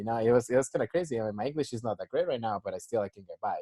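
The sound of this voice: Talking at a very fast pace, a man has a dark, mellow tone.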